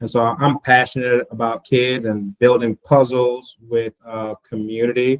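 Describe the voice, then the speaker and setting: A man's medium-pitched voice with a Haitian accent, monotone and flat, at a moderate pace, with a dry, close sound and no echo. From Florida. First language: Haitian Creole. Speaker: school board candidate. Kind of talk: interview. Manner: hesitant with fillers.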